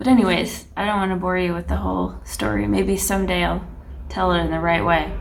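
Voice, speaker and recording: Soft-spoken, a woman talks at a fairly quick pace. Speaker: aspiring illustrator. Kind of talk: casual talk to camera.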